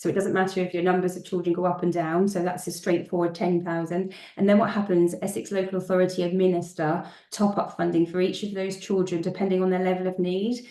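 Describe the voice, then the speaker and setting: Against noticeable background noise, a woman talks very fast at a medium pitch with monotone, flat intonation. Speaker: school finance consultant. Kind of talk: webinar presentation.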